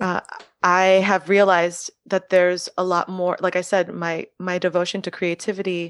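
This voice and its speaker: A woman speaks in an American accent with monotone, flat intonation. The sound is dry and close with no echo, over a quiet background. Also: medium pitch for a woman, moderate pace. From Miami, Florida. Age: 30s. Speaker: early childhood educator and artist. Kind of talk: casual chat.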